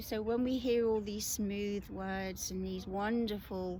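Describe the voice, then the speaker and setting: A woman with a British accent speaks fairly slowly at a fairly high pitch, keeping her intonation fairly even. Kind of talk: casual talk to camera. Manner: hesitant, conversational.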